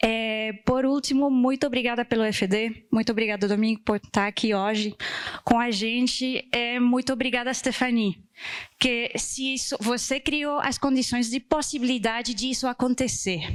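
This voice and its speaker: A woman with a high voice speaks at a moderate pace, her intonation fairly even. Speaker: conference organizer. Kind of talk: closing thank-you speech.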